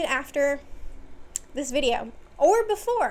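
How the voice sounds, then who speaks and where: A woman's voice with lively intonation. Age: 20s. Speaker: video essayist. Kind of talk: casual monologue video essay. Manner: casual, filler-heavy with restarts.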